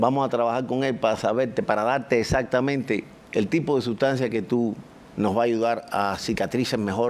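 A plain, everyday voice at a moderate pace, with very even loudness and fairly even intonation. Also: man, medium pitch for a man. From Cuba. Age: 60s. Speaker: cosmetic surgeon; guest. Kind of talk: casual chat. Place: studio. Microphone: lapel.

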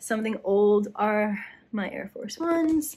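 A woman's somewhat breathy voice rises and falls with ordinary pitch variation. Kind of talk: casual vlog chat. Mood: happy, playful. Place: home room. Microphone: phone near.

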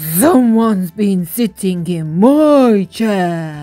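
A female-sounding voice growls through a put-on character voice at a middle pitch. The pace is very slow, with music in the background. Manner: growling.

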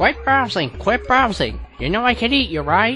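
A cartoonish character voice at a middle pitch comes through with clear background noise. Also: moderate pace. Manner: brash, sarcastic, joking.

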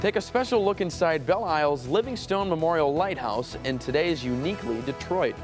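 Clear music plays in the background as a man with an American accent talks at a fairly high pitch and a fairly quick pace. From United States. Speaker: TV news anchor. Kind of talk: TV news read. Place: studio. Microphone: lapel.

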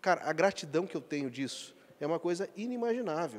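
At a fairly quick pace, a man talks in a normal speaking voice with lively intonation. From Acre, Brazil. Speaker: company executive; interviewee. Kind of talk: interview. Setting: corporate event venue. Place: hall. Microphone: handheld.

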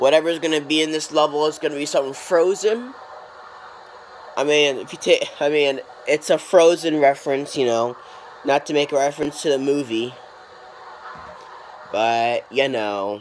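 Noticeable background noise sits behind the speech. The pace is moderate, broken by long, frequent pauses. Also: man, fairly high pitch for a man, ordinary pitch variation. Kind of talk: casual let's play commentary.

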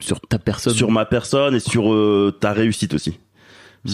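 This man has a fairly low pitch. His pace is fairly slow. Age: 30s. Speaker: father sharing his story. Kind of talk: interview testimony. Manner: halting, many fillers.

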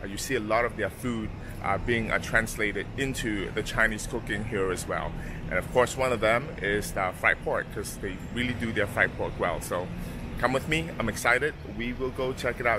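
Noticeable background noise sits behind a man who talks at a moderate pace with ordinary pitch variation, the sound dry with no echo. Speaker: travel vlogger. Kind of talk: casual vlog chat. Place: street. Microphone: phone near.

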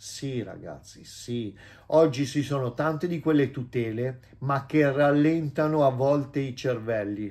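Speaking very slowly, a man uses a fairly high pitch with ordinary pitch variation. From Italy. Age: 50s. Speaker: vlogger and businessman; vlogger. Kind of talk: casual vlog monologue. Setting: at home. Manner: animated. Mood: warm, self-assured. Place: home room. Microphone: phone near.

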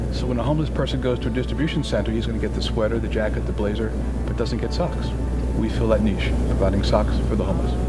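Music plays in the background as a man talks at a very fast pace. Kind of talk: interview answer. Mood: earnest, warm. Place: garden.

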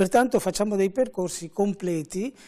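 A dark, mellow voice with ordinary pitch variation is heard over a quiet background. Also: man. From Venice, Veneto, Italy; Veneto, Italy. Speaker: fashion school director. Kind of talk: TV interview. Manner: measured. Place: studio. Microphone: lapel.

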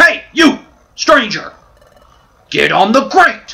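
Very slow, high-pitched speech in a put-on character voice. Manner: barking a command, authoritative.

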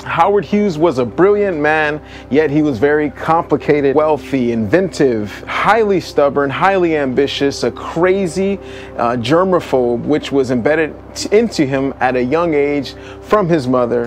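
Lively-sounding man at a moderate pace, with light background noise. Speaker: video host. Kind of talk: casual vlog chat. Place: open country. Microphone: lapel.

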